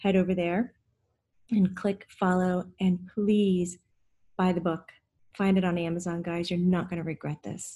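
In a very clean recording with a silent background, a woman speaks in a dark, mellow, somewhat breathy tone. Her delivery is monotone and flat at a fairly slow pace, with long, frequent pauses. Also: medium pitch for a woman. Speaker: podcast host and medium. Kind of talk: interview conversation.

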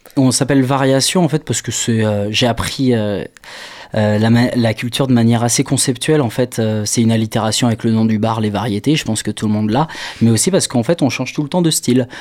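Talking at a fairly quick pace, a man with a plain, everyday voice holds a medium pitch with ordinary pitch variation. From Maine-et-Loire, western France. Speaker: concert organiser. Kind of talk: radio interview.

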